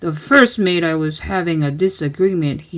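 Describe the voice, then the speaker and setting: The voice sounds female and uses a put-on character voice. It sits at a middle pitch with a moderate pace. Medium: read story. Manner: pirate bluster.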